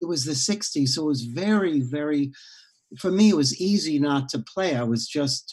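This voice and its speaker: This voice is somewhat breathy, with an American accent and lively intonation. It moves at a moderate pace. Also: man, fairly high pitch for a man. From New York City (Bronx). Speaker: founder of a community music school. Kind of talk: interview. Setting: video call.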